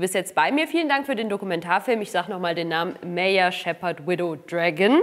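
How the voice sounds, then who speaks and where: A woman speaks at a moderate pace with very wide pitch swings. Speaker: film interviewer. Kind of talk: interview. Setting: studio. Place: studio. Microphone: lapel.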